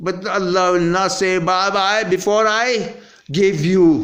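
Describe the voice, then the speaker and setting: A man's high-pitched voice at a very slow pace, with audible room echo. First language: not English. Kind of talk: rambling rant.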